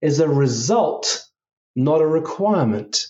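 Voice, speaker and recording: A man speaks at a fairly high pitch with very wide pitch swings. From England, London. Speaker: executive coach. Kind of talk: interview.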